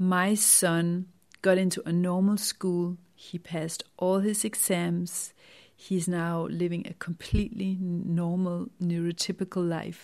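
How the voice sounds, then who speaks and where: With a Danish accent, a woman speaks at a very slow pace in a fairly low voice with monotone, flat intonation. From Denmark. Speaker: wellness author and podcaster. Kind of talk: personal testimony monologue.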